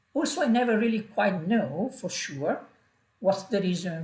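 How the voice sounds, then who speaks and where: Someone with a strong non-native accent speaks at a fairly slow pace. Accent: strong foreign. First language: not English. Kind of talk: personal vlog monologue. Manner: halting, many fillers.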